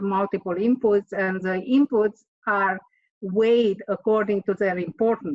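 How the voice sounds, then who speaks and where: With a Romanian accent, a woman speaks at a fairly slow pace in a medium pitch with ordinary pitch variation. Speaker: author and engineer. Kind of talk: interview. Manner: hesitant, with fillers.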